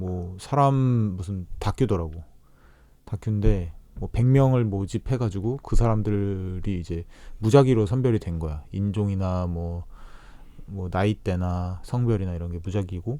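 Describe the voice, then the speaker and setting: Fairly low in pitch, a man speaks at a fairly slow pace in a dark, mellow tone. His pitch varies in an ordinary way, but his loudness swings widely. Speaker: podcast host. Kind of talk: casual chat.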